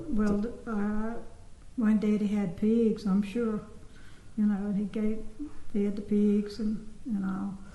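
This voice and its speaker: A woman with an American accent, very slow and flat in a monotone, with long, frequent pauses, noticeable background noise and audible room echo. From US South, Georgia (Sparta). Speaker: former resident recalling childhood. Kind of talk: oral history interview.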